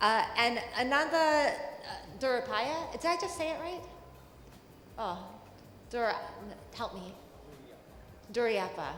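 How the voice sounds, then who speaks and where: An American-accented woman speaks at a fairly slow pace with long, frequent pauses, a high pitch and very wide pitch swings, amid audible room echo and noticeable background noise. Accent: American accent noticed by Indian audience. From New York City. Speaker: journalist, panel moderator. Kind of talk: panel moderation. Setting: conference stage with audience. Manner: conversational, some fillers.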